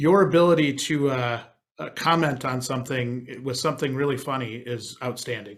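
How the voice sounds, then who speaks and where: In a Wisconsin accent, a man speaks at a moderate pace and medium pitch with ordinary pitch variation on a very clean recording with a silent background. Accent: Wisconsin Midwest. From Wisconsin, US Midwest. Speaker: podcast host. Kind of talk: podcast interview.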